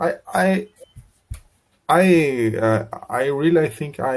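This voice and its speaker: Lively intonation carries a man's dark, mellow tone. He speaks with a Brazilian Portuguese accent. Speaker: English learner. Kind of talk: online English lesson conversation. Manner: halting, many hesitations and repeats.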